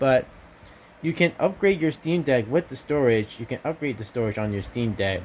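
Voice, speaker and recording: A quiet man's voice at a very fast pace, with lively intonation. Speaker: gaming YouTuber. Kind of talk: casual vlog. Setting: at home at night. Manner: talking quietly; halting, many fillers.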